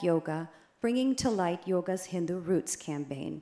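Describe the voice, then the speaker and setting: This woman has an unremarkable speaking voice with an American accent, medium pitch, and ordinary pitch variation. She talks at a moderate pace on a very clean recording with a silent background. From United States. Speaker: advocacy group director, conference speaker. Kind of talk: conference speech. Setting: conference stage with audience.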